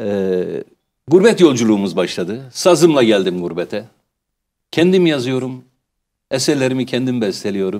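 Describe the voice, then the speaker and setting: Speaking at a moderate pace with long, frequent pauses, a man with a medium-pitched, dark, mellow voice swings very widely in pitch. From Turkey, Malatya; Turkey. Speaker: folk musician; guest. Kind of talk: interview. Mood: reflective, warm. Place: studio. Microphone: lapel.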